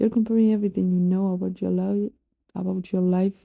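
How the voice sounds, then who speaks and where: A woman speaks at medium pitch in a non-native accent, her intonation monotone and flat, her tone dark and mellow, and her voice somewhat breathy. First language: not English. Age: 20s. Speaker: YouTuber. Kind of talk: personal vlog monologue. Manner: halting.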